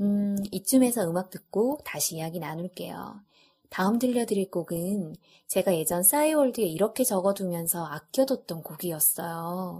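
A woman's somewhat breathy voice, dark and mellow in tone, medium in pitch, at a moderate pace with lively intonation. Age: 30s. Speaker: podcast host. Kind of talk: casual monologue.

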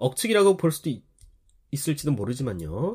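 A man speaks at a fairly high pitch in a dark, mellow, somewhat breathy tone, with very wide pitch swings. The recording is very clean, with a silent background. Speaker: podcast host, news commentator. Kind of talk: scripted news commentary.

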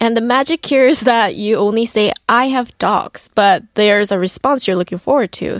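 A woman with a Korean accent at a moderate pace, ordinary pitch variation, a dry, close sound with no echo, and a quiet background. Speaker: young Korean commentator. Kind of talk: radio segment chat.

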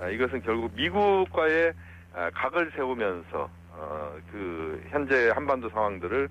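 A man at medium pitch with very wide pitch swings, a fairly slow pace and long, frequent pauses, amid noticeable background noise. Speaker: professor. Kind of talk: phone interview. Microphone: unstable connection.

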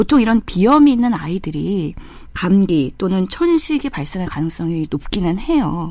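A woman's medium-pitched voice at a moderate pace, with very wide pitch swings. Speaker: medical doctor. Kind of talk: medical advice chat.

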